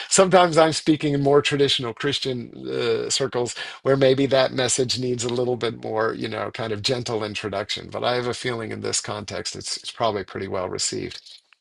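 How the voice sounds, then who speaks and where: This man speaks at a fairly quick pace with hardly any pauses, in an American accent and a medium pitch. His pitch variation is ordinary, and his is an unremarkable speaking voice. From Virginia, US. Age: 60s. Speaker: spiritual author and speaker. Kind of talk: guest talk.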